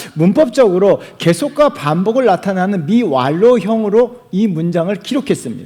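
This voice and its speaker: With an animated tone and hardly any pauses, a man with a high voice talks at a moderate pace, his pitch swinging very widely. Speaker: pastor. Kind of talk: sermon.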